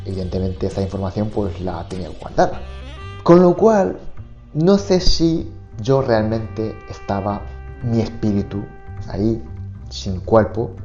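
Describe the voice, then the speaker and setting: Music plays in the background as a man speaks at a very slow pace. His fairly low voice moves through very wide pitch swings. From Japan. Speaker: Japanese teacher. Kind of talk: podcast monologue. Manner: casual, conversational.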